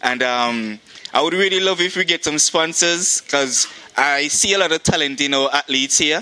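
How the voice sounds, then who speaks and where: Against noticeable background noise, a man with a Montserratian accent speaks in a fairly high pitch. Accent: Montserratian Caribbean English. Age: 20s. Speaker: track athlete and club president. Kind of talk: interview. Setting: outdoors.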